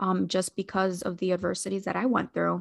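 A woman speaks in a normal speaking voice at a moderate pace, her medium-pitched delivery lively in intonation against a quiet background. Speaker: social worker and pageant contestant. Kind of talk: interview. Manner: many fillers and repetitions.

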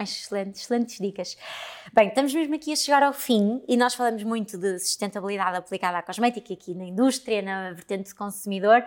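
Very fast-paced woman's voice at medium pitch, with ordinary pitch variation and big swings in loudness. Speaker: podcast host, cosmetics trainer. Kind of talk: interview.

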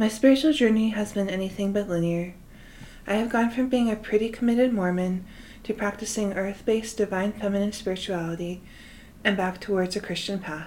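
A woman's plain, everyday voice, medium in pitch with ordinary pitch variation. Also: fairly quick pace. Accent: American. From Utah, US. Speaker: podcast host, spiritual guide. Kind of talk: scripted monologue.

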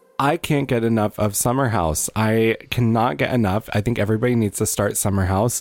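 The recording is very clean, with a silent background. A man speaks at a moderate pace in an ordinary speaking voice, fairly low in pitch. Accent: American. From Wisconsin. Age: 30s. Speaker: departing podcast co-host. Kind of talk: casual chat.

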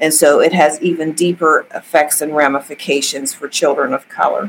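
A woman with a very deep, low pitch talks in an American accent. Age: 60s. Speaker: judge. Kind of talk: interview.

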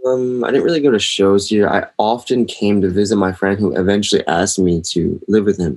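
In a normal speaking voice, a man with an American accent talks at a fairly quick pace and fairly low pitch with ordinary pitch variation. His loudness stays very even, with hardly any pauses. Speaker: hardcore drummer and DJ. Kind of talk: casual interview chat.

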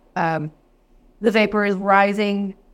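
A woman with a Texan accent talks at a medium pitch with fairly even intonation. The recording is very clean, with a silent background. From East Texas. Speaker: whiskey educator. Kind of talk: interview.

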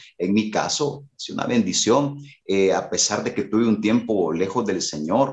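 Speaking with a Salvadoran accent, a man has a medium pitch. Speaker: worship leader and musician. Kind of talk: casual interview chat.

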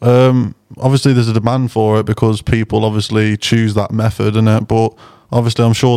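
Recorded very cleanly against a silent background, a man with an East Midlands accent speaks in a dark, mellow tone with flat, monotone intonation and a dry, close sound with no echo. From Burton, near Derby. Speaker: musician. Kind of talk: casual chat.

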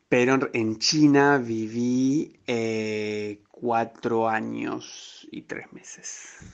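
Speaking at a very slow pace with hardly any pauses, a man keeps a fairly even intonation while his loudness swings widely. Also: medium pitch for a man. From Argentina, Rosario. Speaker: graduate student abroad. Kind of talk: interview.

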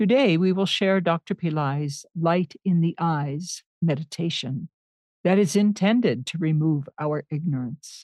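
Against a quiet background, a woman with a plain, everyday voice speaks at a fairly slow pace and a fairly low pitch with ordinary pitch variation, the sound dry and close with no echo. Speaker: podcast host. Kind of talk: scripted intro and outro.

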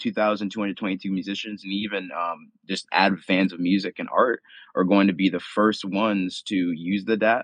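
Speaking at a fairly slow pace with hardly any pauses, a man holds a fairly low pitch in monotone, flat intonation. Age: 20s. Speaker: musician and project founder. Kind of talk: casual chat. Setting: online audio room. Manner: halting.

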